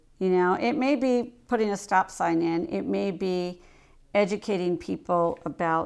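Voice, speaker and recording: On a very clean recording with a silent background, a woman with an American accent uses a normal speaking voice at a medium pitch, speaking at a fairly slow pace with lively intonation. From northern Ohio, US Midwest (Coshocton). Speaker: leadership consultant, former mayor. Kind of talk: casual interview chat.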